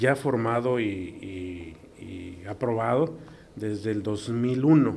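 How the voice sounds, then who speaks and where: A man speaks at a medium pitch. His intonation shows ordinary variation. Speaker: neuroradiologist. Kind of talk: interview. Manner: halting.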